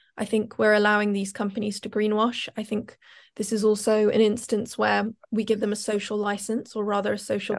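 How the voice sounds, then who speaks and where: A woman with a fairly high pitch races along at a very fast pace. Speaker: climate activist. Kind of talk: panel talk.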